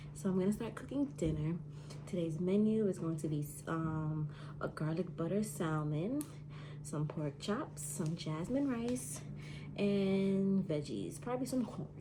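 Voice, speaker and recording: A woman whispers, soft-spoken, at a fairly slow pace. Audible room echo and noticeable background noise surround her. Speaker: home cook vlogger. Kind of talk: cooking vlog tutorial. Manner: soft-spoken, near whisper; casual.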